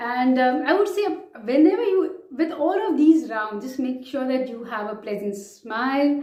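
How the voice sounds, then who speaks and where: With an Indian accent, a woman speaks at a moderate pace in a high-pitched voice with a dark, mellow tone, and the room echo is audible. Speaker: vlogger, chartered accountant. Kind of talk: advice vlog.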